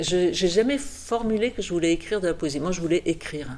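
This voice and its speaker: Her pitch is fairly low for a woman. It varies in an ordinary way. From French Pyrenees. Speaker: novelist and poet. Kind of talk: interview monologue. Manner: halting, with repetitions.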